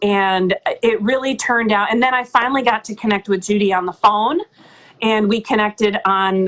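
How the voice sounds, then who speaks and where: An unremarkable speaking voice from a woman, medium in pitch, at a moderate pace. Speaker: audiobook narrator. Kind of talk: interview answer. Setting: live video call.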